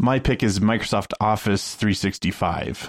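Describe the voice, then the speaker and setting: An unremarkable speaking voice moves at a moderate pace with fairly even intonation in a very clean recording with a silent background. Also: man. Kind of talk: casual panel chat.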